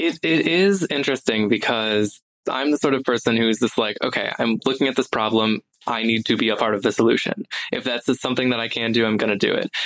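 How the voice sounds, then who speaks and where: At a fairly quick pace, a man of medium pitch with ordinary pitch variation has an unremarkable speaking voice. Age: 20s. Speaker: speech-language pathology undergraduate student. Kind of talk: casual interview.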